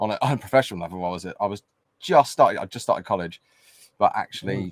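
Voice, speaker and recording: With a southern English accent, the speech races at a very fast pace with lively intonation, in a dry, close sound with no echo. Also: man. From southern England, Winchester. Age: 30s. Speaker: music producer. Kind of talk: interview.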